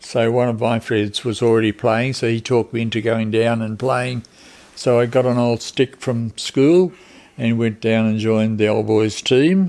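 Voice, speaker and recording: A speaker with an Australian accent talks at a moderate pace with fairly even intonation. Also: man, medium pitch for a man. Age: 80s+. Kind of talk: interview answer.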